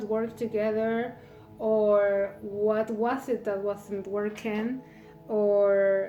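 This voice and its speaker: Music plays behind a woman with a non-native accent. Her pitch sits fairly high. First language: not English. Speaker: tarot reader. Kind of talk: tarot reading monologue. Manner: halting, many fillers.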